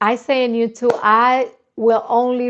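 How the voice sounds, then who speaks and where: This is a woman speaking. She has a Spanish accent. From Dominican Republic. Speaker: YouTuber, dating and confidence coach. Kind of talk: live stream chat. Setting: live stream. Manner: halting, with repetitions and restarts.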